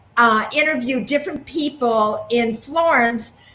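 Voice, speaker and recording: At a fairly slow pace, a woman speaks in a fairly high, somewhat breathy voice with ordinary pitch variation. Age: 70s. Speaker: magazine co-founder. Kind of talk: casual chat.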